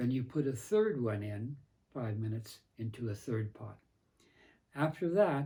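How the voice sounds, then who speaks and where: A man speaks at a fairly slow pace, leaving long, frequent pauses. His medium-pitched voice is somewhat breathy, with a dark, mellow tone. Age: 90s. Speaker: professor and priest. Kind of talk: tutorial. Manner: halting.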